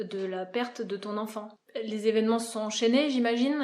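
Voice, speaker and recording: A woman speaks at a moderate pace in a fairly high pitch. She has a plain, everyday voice. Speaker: naturopath and show host. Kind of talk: interview questions.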